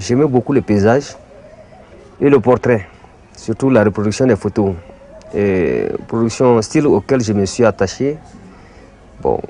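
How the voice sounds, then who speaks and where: A man speaks fairly slowly, with long, frequent pauses, against noticeable background noise. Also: medium pitch for a man, ordinary pitch variation. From Mali. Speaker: art teacher and bogolan artist. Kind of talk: interview testimony. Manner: hesitant, with frequent fillers.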